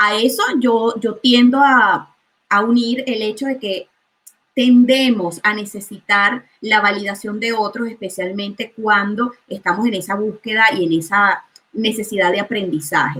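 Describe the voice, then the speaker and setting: A woman with a Venezuelan accent has a fairly high pitch and ordinary pitch variation. Her tone is bright and sharp. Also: fairly slow pace. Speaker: chemist and food coach. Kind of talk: interview.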